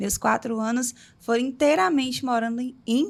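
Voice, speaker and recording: This woman has an ordinary speaking voice with a fairly high pitch and a moderate pace. The recording is very clean, with a silent background. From Bahia, Brazil (Itabuna area). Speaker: podcast host. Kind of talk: casual chat.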